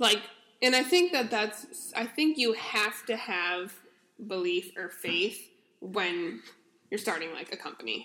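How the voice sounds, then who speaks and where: A woman's lively intonation at a fairly slow pace. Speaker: podcast host. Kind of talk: casual chat. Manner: loud.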